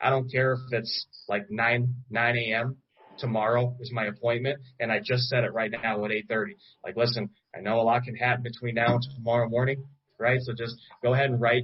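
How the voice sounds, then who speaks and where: A man with an American accent talks at a medium pitch and a fairly quick pace. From Chicago. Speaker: insurance sales trainer. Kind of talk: sales training talk on a group call. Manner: fast; animated.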